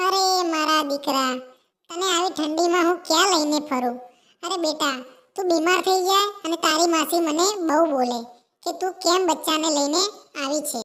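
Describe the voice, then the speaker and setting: A woman uses a cartoonish character voice at an extremely high pitch. She goes at a fairly slow pace with ordinary pitch variation. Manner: affectionate, repeats "beta".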